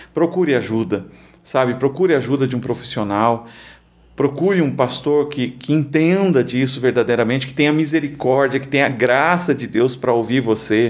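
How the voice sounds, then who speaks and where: This man has a medium pitch, ordinary pitch variation and a moderate pace. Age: 40s. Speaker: pastor. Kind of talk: testimony. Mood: calm, earnest, encouraging. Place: studio. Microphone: studio mic.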